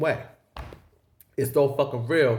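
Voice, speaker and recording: Somewhat breathy speech with an American accent at a fairly quick pace. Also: man. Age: 30s. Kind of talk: casual talk to camera. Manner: profane, animated.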